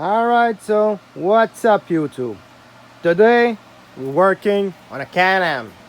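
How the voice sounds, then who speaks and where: Speaking at a very slow pace, a man with a French Canadian accent uses lively intonation and a high pitch. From Quebec. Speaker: mechanic youtuber. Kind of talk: tutorial. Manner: casual, halting with fillers.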